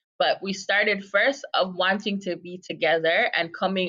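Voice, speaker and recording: A woman speaks with an American accent at medium pitch. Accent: slight American-sounding accent over Jamaican. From Jamaica. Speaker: advocacy nonprofit co-director. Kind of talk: podcast interview.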